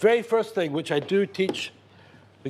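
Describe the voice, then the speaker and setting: A man with a Scottish accent at a moderate pace, lively intonation, and noticeable background noise. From Scotland, Glasgow. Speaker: chef and caterer. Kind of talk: TV cooking demonstration interview.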